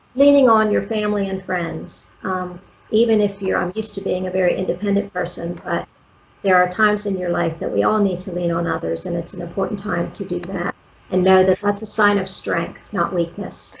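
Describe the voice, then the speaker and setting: Noticeable background noise sits behind a woman's voice. Her pitch is medium, with fairly even intonation. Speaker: brain injury survivor. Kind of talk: interview. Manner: slow.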